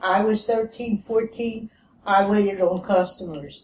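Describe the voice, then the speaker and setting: A woman's fairly high voice in a Philadelphia accent, very slow and with fairly even intonation. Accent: Philadelphia American English. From US Northeast, Philadelphia. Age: 80s+. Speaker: retired discussion participant. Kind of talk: group discussion.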